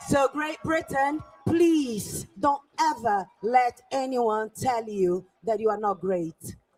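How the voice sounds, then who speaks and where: Music plays in the background while the speech moves at a very slow pace. There are hardly any pauses. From Brazil. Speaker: rally speaker.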